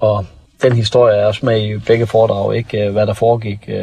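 A man talks at a moderate pace in a fairly low pitch. Background noise is noticeable. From North Jutland, Denmark. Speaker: former police officer turned public speaker. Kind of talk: interview.

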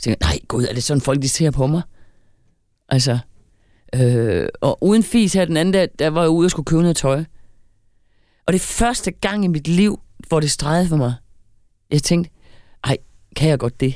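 A woman with a very deep, low pitch and a dark, mellow tone speaks at a moderate pace with lively intonation, very even loudness, and long, frequent pauses. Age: 50s. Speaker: podcast co-host. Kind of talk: casual chat.

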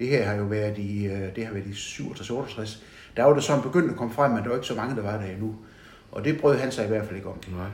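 Through noticeable background noise and audible room echo, the speech moves at a fairly quick pace with ordinary pitch variation. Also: man, fairly low pitch for a man. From Southern Jutland, Denmark (Vojens). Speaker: retired bank manager. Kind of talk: interview about life story. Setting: at home.

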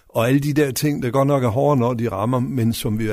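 Talking at a very fast pace, a man has a medium-pitched voice with ordinary pitch variation. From West Jutland, Denmark. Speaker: local politician, mayoral candidate. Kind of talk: radio interview. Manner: halting, many fillers.

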